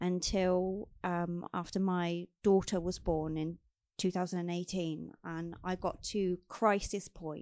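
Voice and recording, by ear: A woman speaks with a fairly low pitch and a slightly mellow tone. She goes at a fairly slow pace with little pitch movement.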